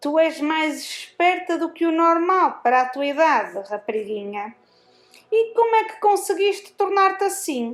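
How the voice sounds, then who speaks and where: Over music in the background, a woman puts on a character voice that is shrill, nasal, raised and projected, extremely high in pitch, at a moderate pace. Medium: read story. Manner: sarcastic, harsh.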